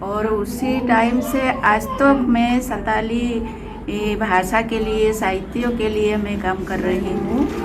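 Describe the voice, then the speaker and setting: A woman's fairly high voice with a Jharkhand accent, fairly even intonation, music in the background and audible room echo. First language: Santali (speaking Hindi). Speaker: poet and writer. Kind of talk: interview.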